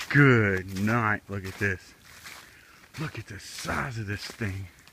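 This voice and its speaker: Over noticeable background noise, a man speaks at a very slow pace in a fairly low pitch. His intonation stays fairly even while his loudness swings widely. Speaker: outdoors vlogger. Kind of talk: casual vlog narration. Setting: outdoors. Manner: mumbling.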